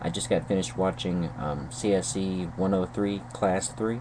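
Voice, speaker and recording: A man with a fairly low pitch speaks at a fairly slow pace with an American accent. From North Carolina. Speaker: YouTube vlogger. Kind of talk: video response monologue. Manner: hesitant, many fillers and repetitions.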